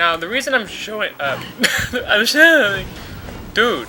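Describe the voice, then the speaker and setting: With music playing underneath, a man's pitch swings very widely as he talks. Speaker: let's play commentator. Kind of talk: video game commentary. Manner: subdued, mellow.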